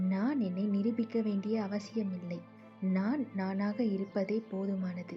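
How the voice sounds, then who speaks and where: Over background music, a woman speaks in a calm tone at medium pitch with flat, monotone intonation. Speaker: affirmation narrator. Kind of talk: guided affirmations.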